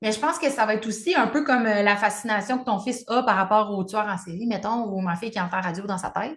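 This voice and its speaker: Her pace is very fast, with hardly any pauses. This woman speaks fairly high with ordinary pitch variation. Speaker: podcast co-host, spiritual coach. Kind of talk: casual chat. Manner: loud.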